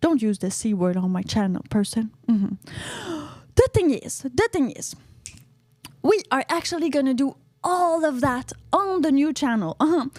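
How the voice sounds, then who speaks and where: With noticeable background noise but a dry, close sound and no echo, a woman with a high pitch speaks in an animated tone with very wide pitch swings. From Canada. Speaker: podcaster and YouTuber. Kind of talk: casual solo podcast monologue. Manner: animated, chatty with frequent uh-huh and mm-hmm fillers.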